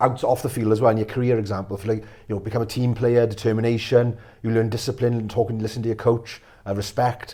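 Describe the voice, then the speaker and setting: On a very clean recording with a silent background, a man with a South Wales accent speaks at a very fast pace in a somewhat breathy, dark, mellow voice of medium pitch with monotone, flat intonation. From Wales, Pontyclun area. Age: 40s. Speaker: mental health speaker. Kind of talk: interview.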